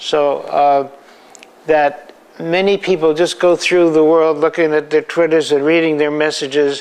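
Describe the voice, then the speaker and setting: This man has a fairly high pitch and speaks at a fairly slow pace. His loudness stays very even and his intonation is flat and monotone. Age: 80s+. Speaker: photographer. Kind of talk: interview. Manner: halting, with frequent repeats.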